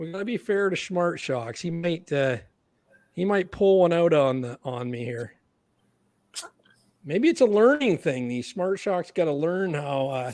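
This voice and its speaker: At a fairly slow pace, a man with a Canadian accent speaks at a high pitch with lively intonation. He leaves long, frequent pauses. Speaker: podcast host. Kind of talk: casual chat. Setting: livestream. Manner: animated.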